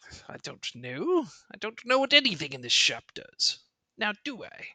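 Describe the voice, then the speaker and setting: The pitch sits fairly high in this put-on character voice. Its pace is moderate. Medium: actual play. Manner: curt, grumbling, easily flustered.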